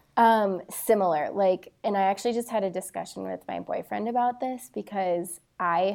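At a moderate pace, a woman with a medium pitch and ordinary pitch variation speaks in an unremarkable speaking voice. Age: 30s. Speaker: nonprofit founder. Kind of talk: casual chat.

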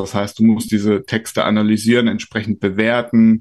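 A man talks in a fairly low, monotone voice with flat intonation at a moderate pace. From Rhineland-Palatinate, Germany. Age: 40s. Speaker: trade association executive. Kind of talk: interview.

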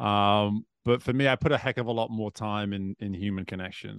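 A man speaks with a northwest English accent. His pitch is fairly low. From northwest England. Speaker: swim coach and executive coach, author. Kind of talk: casual podcast interview.

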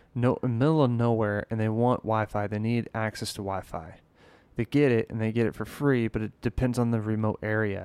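An unremarkable speaking voice: a man at medium pitch and moderate pace, with fairly even intonation. The sound is dry and close with no echo, a very clean recording with a silent background. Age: 20s. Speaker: singer and recording artist. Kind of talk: casual chat.

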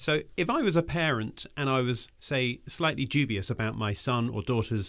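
Lively intonation from a man at medium pitch, an ordinary speaking voice on a very clean recording with a silent background. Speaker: podcast host. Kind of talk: scripted intro and casual interview.

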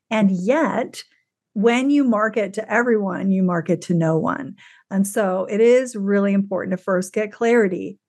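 A woman speaks at a moderate pace with a medium pitch and ordinary pitch variation. She has an ordinary speaking voice. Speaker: executive and leadership coach. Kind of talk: interview about public speaking.

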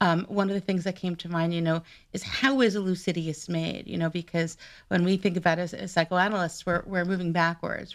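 A woman's fairly low voice with an American accent, fairly even intonation and a fairly quick pace. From New York. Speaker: psychoanalyst and podcast host. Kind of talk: casual interview. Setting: remote call from home. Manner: hesitant, many fillers.

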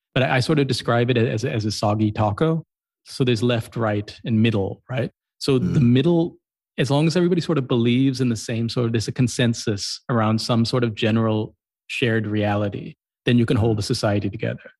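Speaking at a very fast pace, a man has an American accent. His pitch is medium, with ordinary variation. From US Midwest, Columbus, Ohio. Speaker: writer and YouTuber. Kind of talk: interview conversation.

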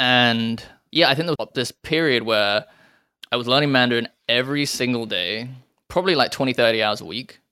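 In a British accent, a man speaks at a fairly quick pace and medium pitch, his tone bright and sharp, with ordinary pitch variation on a very clean recording against a silent background. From England. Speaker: rock climber and crypto investor. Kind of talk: casual chat.

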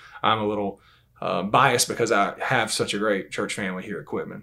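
A man speaks with a Southern US accent at a fairly quick pace. His pitch is fairly low and his intonation fairly even. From Georgia, US. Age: 30s. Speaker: Bible class teacher. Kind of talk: religious discussion.

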